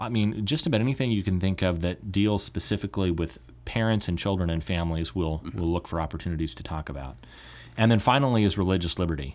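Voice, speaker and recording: A man with an American accent and a very deep, low pitch, at a very fast pace with lively intonation, in a very clean recording with a silent background. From California. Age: 30s. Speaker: advocacy group director, podcast host. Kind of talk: casual podcast chat.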